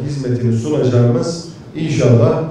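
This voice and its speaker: Strong room echo and light background noise surround a man speaking at a moderate pace with ordinary pitch variation. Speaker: candidate. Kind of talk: campaign speech presenting projects. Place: hall.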